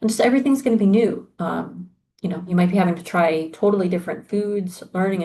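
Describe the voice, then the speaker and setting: A woman speaks at a fairly quick pace in a dark, mellow tone. Her voice is somewhat breathy, and her intonation stays fairly even. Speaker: university exchange program staff. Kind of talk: orientation presentation. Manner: conversational with frequent fillers.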